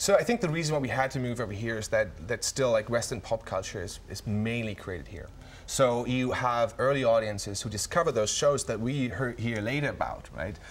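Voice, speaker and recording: A man talks with a German accent at a fairly quick pace. He has hardly any pauses and ordinary pitch variation. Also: medium pitch for a man. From Germany. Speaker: tech company CEO. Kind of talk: TV interview. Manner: halting, many fillers and repetitions.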